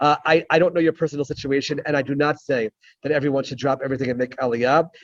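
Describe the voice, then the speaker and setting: A man with an American accent has an ordinary speaking voice at a fairly high pitch. The sound is dry and close with no echo, and his intonation is fairly even. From United States. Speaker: rabbi and former Israeli legislator. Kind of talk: Q&A answer in an online talk. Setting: video call from an airport.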